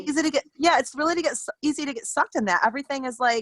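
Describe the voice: Using a put-on character voice, a woman talks at a very fast pace in a hoarse, high-pitched voice.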